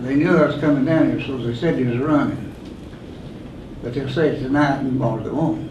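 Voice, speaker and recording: A man with an Appalachian accent talks at a fairly quick pace, his pitch fairly high and his intonation fairly even. Audible room echo and noticeable background noise surround him. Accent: Appalachian Southern US. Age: 80s+. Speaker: rescue squad volunteer. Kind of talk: public comment at a meeting. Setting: county board meeting.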